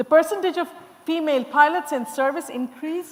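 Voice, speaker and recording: A woman speaks loudly. Noticeable background noise can be heard behind her. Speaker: panel moderator. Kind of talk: panel discussion moderation. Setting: conference stage with audience.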